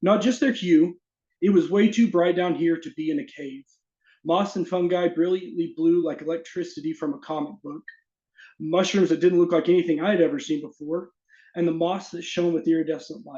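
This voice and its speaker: Speaking with an American accent, a man with a high pitch and a dark, mellow tone moves at a fairly quick pace, with ordinary pitch variation and big swings in loudness. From US South, Arkansas. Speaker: fantasy author. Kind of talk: casual chat; reading aloud.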